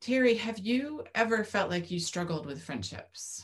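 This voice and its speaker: Fairly slowly and somewhat breathily, a woman with a fairly high pitch talks with very wide pitch swings. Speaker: podcast co-host. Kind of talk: casual chat. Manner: mellow, relaxed.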